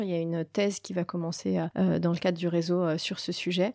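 Her voice is fairly low with a dark, mellow tone, and she speaks at a moderate pace. The woman is recorded very cleanly against a silent background. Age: 40s. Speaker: network president at a company. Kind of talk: interview. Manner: hesitant, many fillers.

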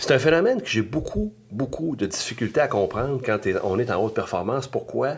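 A man with a Quebec accent talks at a moderate pace, using ordinary pitch variation. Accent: Québécois French. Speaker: business coach. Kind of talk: podcast monologue. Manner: animated.

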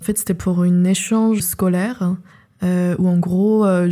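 A woman of medium pitch speaks at a fairly slow pace in a monotone, flat intonation. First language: not French (speaking French). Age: 20s. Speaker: filmmaker and writer. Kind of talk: personal testimony. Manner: hesitant, many fillers.

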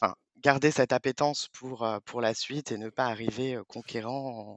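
Speaking at a very slow pace, a man uses a medium pitch. His intonation is monotone and flat. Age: 30s. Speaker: payroll manager. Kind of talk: interview. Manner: halting.

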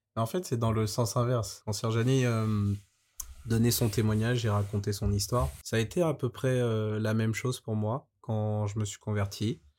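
A man speaks at a moderate pace in a normal speaking voice. His pitch sits in the medium range and varies in an ordinary way. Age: 20s. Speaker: banker. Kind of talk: testimony.

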